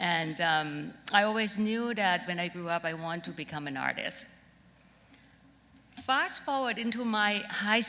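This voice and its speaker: Fairly slow speech from a woman, her pitch fairly low with ordinary variation, over noticeable background noise. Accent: Thai. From Thailand, Bangkok. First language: Thai. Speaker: designer. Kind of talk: keynote talk.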